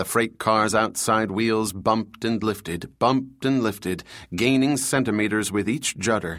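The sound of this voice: The speaker uses an unforced reading voice. Nothing else stands out.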